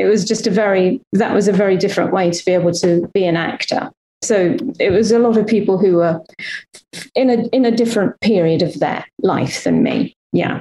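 Her tone is dark and mellow, and this woman keeps her loudness very even at a fairly quick pace. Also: medium pitch for a woman, ordinary pitch variation. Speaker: actress and former game show host.

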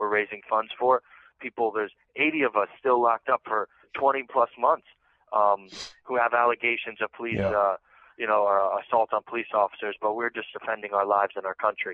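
A man with an ordinary speaking voice talks at a fairly quick pace and fairly low pitch. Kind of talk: impassioned rally-style testimony. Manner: urgent, fervent, preachy.

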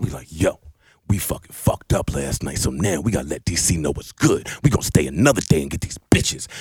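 Through vocal fry, a man's voice swings very widely in pitch. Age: 30s. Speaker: podcast host. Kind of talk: casual chat. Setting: studio. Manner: animated.

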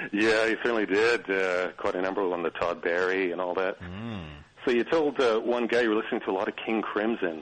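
A man talks at a fairly quick pace. His pitch is fairly low, with ordinary pitch variation. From Vancouver, Canada. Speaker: caller, music fan. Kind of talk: phone-in chat.

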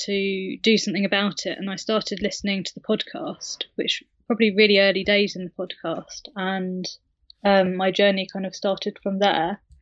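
In a British accent, a woman speaks at a moderate pace with a medium pitch and monotone, flat intonation. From UK. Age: 30s. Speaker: recovery guest sharing her story. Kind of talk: interview, personal story.

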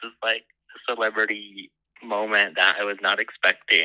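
A normal speaking voice with an American accent, at a moderate pace. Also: man. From US Pacific Northwest (Portland, Oregon). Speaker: caller. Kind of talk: voicemail message; phone conversation.

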